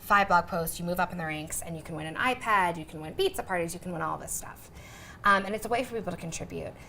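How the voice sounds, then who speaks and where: A woman speaks very fast in a bright, sharp, energetic tone at a fairly low pitch. Her pitch varies in an ordinary way, while her loudness swings widely. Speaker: content marketing director. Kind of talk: interview Q&A. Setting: room with live audience. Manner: fast, energetic.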